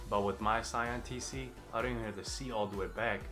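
Over clear music in the background, a man with a fairly low pitch speaks at a fairly quick pace. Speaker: car owner vlogger. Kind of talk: casual vlog chat. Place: home room.

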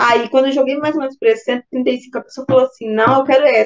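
A woman's high voice at a fairly quick pace, with ordinary pitch variation, against a quiet background. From Minas Gerais, Brazil. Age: 40s. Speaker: course student; interviewee. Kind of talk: testimony interview. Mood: relaxed, friendly. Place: home room. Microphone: video call.

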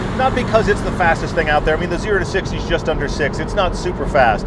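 A man talks amid loud background noise, his sound dry with no echo. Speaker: car show host. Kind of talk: car review commentary. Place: car.

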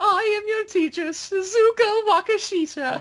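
A woman talks at a moderate pace in a put-on character voice. Her pitch is extremely high, with ordinary variation. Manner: melodious, commanding.

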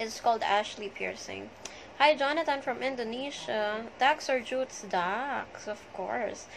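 Light background noise sits behind the speaker. A woman talks at a fairly slow pace with a high pitch. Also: ordinary pitch variation. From Manila, Philippines. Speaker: social media livestreamer. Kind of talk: live stream chat greeting viewers. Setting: live video stream. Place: home room. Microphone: phone near.

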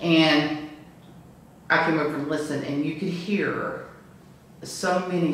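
Strong room echo surrounds a woman who speaks at a very slow pace with fairly even intonation. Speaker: witness telling a ghost story. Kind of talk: interview answer. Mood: earnest, slightly awed. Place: home room. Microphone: camera far.

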